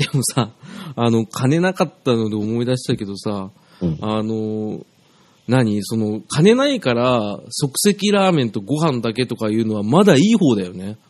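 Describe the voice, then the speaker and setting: An ordinary speaking voice from a man at medium pitch, fairly slow, with lively intonation, against a quiet background. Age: 30s. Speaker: music producer and former visual-kei band member. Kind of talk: casual chat.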